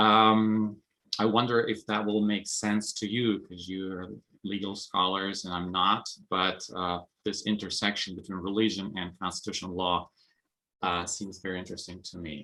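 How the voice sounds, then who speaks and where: A man with a Russian accent, fairly low in pitch, at a moderate pace, with a bright, sharp tone, big swings in loudness and monotone, flat intonation, on a very clean recording with a silent background. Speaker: religious studies scholar. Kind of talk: conference presentation.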